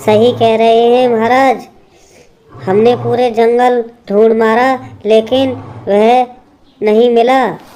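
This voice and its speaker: In a cartoonish character voice that sounds female and fairly high-pitched, the speaker goes at a very slow pace with long, frequent pauses. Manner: polite, respectful.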